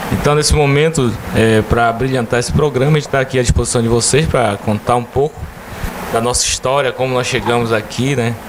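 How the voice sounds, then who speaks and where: A man's fairly quick speech with very even loudness and fairly even intonation, over noticeable background noise. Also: medium pitch for a man. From Brazil, Ceará (Chaval), moved to Pará as child. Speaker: mayor. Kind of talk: interview. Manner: hesitant, many fillers.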